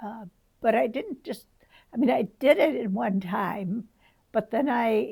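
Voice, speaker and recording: This woman has a fairly high, somewhat breathy voice with lively intonation. She talks at a fairly slow pace with long, frequent pauses. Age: 80s+. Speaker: retired church ministry worker, home Bible study leader. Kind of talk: interview answer.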